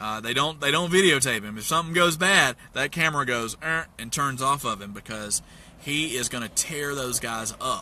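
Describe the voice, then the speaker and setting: A man speaks at a moderate pace in a Southern US accent, his pitch fairly high with ordinary variation. His tone is bright, sharp and animated. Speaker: investment mentor. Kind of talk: motivational talk. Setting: in a parked truck.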